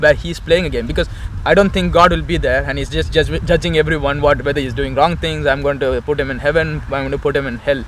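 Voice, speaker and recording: A man with a Tamil accent speaks at a very fast pace over noticeable background noise. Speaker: Osho follower, interviewee. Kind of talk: street conversation about faith. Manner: halting, many fillers.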